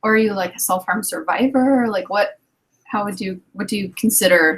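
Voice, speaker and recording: Ordinary pitch variation marks speech delivered at a moderate pace. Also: woman, medium pitch for a woman. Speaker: talk show host. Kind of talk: casual chat. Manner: loud.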